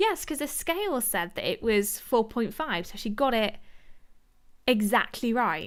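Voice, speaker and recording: Intonation here is lively. The delivery moves very slowly. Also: woman. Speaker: YouTube commentator discussing a TV show. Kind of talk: livestream chat reading viewer comments. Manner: slurring words at times; casual, many fillers.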